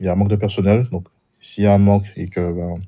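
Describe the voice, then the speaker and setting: Over a quiet background, a man speaks at a fairly low pitch in a dark, mellow tone with monotone, flat intonation. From Martinique. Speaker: roleplay applicant. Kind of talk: job interview. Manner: polite.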